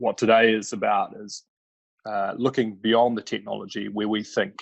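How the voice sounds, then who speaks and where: At a moderate pace, a man speaks with a New Zealand accent. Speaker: climate energy advisor. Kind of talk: webinar presentation. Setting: online webinar. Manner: halting, many fillers.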